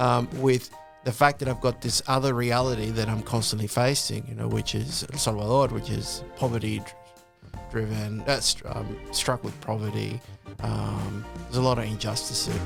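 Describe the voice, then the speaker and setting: A man speaks at a moderate pace, and music is heard in the background. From El Salvador. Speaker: lawyer, law firm director. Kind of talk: interview answer. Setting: studio. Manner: casual.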